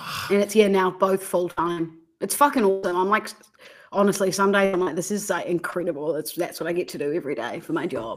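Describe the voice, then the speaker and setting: A woman talks at a very fast pace. She speaks with an Australian accent. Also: medium pitch for a woman, ordinary pitch variation. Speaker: podcaster and content creator, former radio producer. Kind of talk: casual chat.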